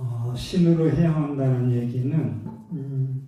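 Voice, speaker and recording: Somewhat breathy delivery with fairly even intonation and audible room echo. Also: man. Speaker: Buddhist monk. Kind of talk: sermon. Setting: temple dharma talk with audience. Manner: hesitant, many fillers.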